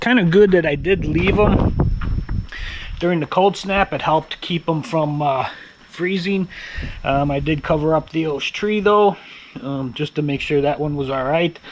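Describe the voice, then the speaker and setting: A man talks at a moderate pace with long, frequent pauses, over noticeable background noise. His voice is fairly high, with ordinary pitch variation. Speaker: home vlogger. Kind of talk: casual vlog talk to camera. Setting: outdoors.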